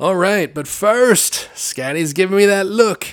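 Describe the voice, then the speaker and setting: The man's speech is fairly slow and carries an American accent. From Chicago area, US Midwest. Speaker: radio host. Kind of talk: radio dj patter. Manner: animated, excitable.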